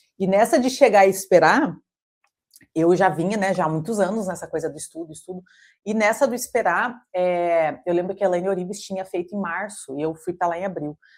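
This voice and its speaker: The speaker talks at a fairly quick pace in a Brazilian accent, with ordinary pitch variation. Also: woman, medium pitch for a woman. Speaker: coach and holistic therapist. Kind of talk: intimate interview conversation. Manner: halting, many repetitions and fillers.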